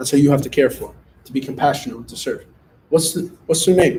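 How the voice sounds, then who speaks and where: A man's dark, mellow, somewhat breathy voice at a fairly quick pace, with ordinary pitch variation. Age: 30s. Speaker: student pastor. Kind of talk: youth group sermon. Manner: casual, animated.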